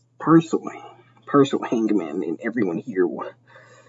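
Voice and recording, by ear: Reading aloud, the speaker uses a natural voice.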